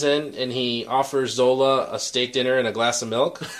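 A man talks with a Chicago accent. Noticeable background noise runs beneath him. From Chicago area. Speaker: podcast host and editor. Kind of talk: casual chat. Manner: fast talker.

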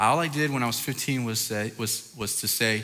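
An animated tone with ordinary pitch variation and audible room echo. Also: man. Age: 30s. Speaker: youth pastor. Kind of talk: sermon.

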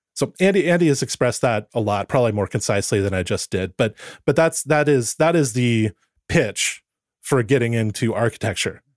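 Recorded very cleanly against a silent background, a man speaks at a medium pitch and a fairly quick pace with lively intonation. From Southern California (Santa Barbara area). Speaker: golf course architecture writer. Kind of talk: podcast interview.

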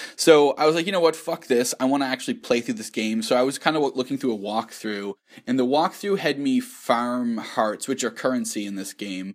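With an unremarkable speaking voice at a medium pitch, a man talks with lively intonation. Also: fairly quick pace. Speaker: podcast co-host. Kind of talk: casual chat.

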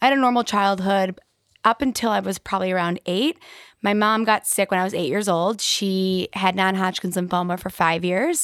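A woman talks in an ordinary speaking voice at medium pitch, keeping a moderate pace and ordinary pitch variation. The recording is very clean with a silent background and a dry, close sound with no echo. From West Bloomfield, Michigan, US. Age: 30s. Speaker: life coach and motivational speaker. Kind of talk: casual chat.

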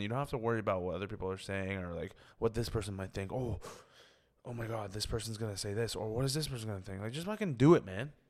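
The speaker has a Toronto accent and ordinary pitch variation. The recording is very clean, with a silent background. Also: man. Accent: Toronto Canadian English. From Canada, Scarborough (Toronto). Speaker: comedian. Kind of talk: casual chat.

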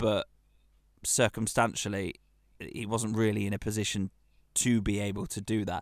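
Recorded very cleanly against a silent background, with a dry, close sound and no echo, a man with an English accent speaks at a moderate pace and a fairly low pitch. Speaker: football podcast co-host. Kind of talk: casual chat.

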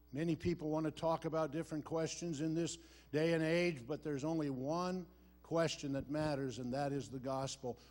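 A man talks at a moderate pace with an American accent. His pitch is fairly high, with ordinary pitch variation. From US Midwest, Iowa. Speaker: missionary preacher. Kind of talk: sermon. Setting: church service with congregation.

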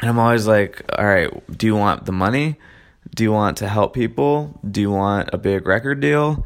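With a normal speaking voice, a man at fairly low pitch talks at a moderate pace with lively intonation and very even loudness. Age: 20s. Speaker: podcast host. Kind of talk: solo monologue. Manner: casual with frequent fillers.

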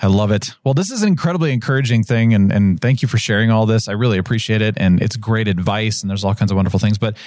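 This man talks at a very fast pace in a fairly low pitch, with ordinary pitch variation. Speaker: podcast host. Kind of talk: interview.

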